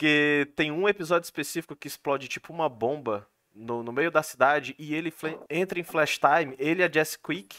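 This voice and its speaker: The tone is bright and sharp. The sound is dry and close, with no echo. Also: man, fairly high pitch for a man, ordinary pitch variation, moderate pace. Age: 20s. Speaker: podcast host. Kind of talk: casual chat. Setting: live stream.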